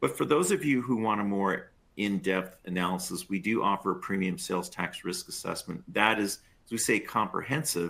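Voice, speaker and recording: A man talks at a moderate pace in an ordinary speaking voice, his pitch fairly low with ordinary variation. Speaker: sales tax expert. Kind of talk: webinar presentation.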